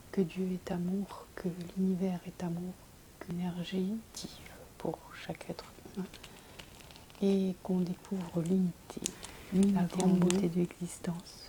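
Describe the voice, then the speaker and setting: A soft-spoken woman talks at a fairly slow pace in a gentle, flat monotone, with long, frequent pauses and noticeable background noise. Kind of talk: ASMR bedtime talk with soft guided meditation. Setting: home video, close to microphone. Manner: soft-spoken, gentle, low voice.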